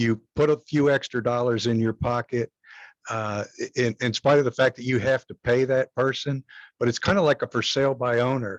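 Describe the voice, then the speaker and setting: In a dry, close sound with no echo, a man at a medium pitch speaks at a moderate pace with fairly even intonation. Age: 60s. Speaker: real estate agent attendee. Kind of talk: testimony. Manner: halting.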